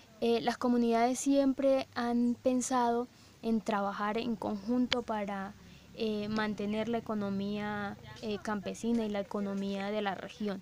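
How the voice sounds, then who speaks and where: The woman's intonation is fairly even. She speaks at a fairly slow pace. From Colombia, Cesar department. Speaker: university researcher. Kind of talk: research interview. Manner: hesitant, many fillers.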